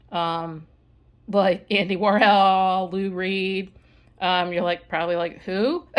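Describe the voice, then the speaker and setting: A woman speaks at a fairly slow pace with monotone, flat intonation. The recording is very clean, with a silent background. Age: 50s. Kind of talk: casual show-and-tell video. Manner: casual, with many fillers and restarts.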